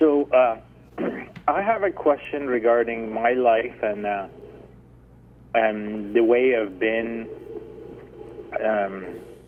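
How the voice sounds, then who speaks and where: A man talks at a very slow pace and a medium pitch, with ordinary pitch variation. Long, frequent pauses break up his speech against noticeable background noise. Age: 50s. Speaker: caller. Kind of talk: call-in radio question. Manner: halting.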